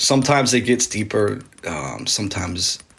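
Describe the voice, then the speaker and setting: A man's intonation is lively, with noticeable background noise behind him. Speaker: ASMR live streamer. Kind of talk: ASMR live stream chat. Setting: live stream. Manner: casual, slangy.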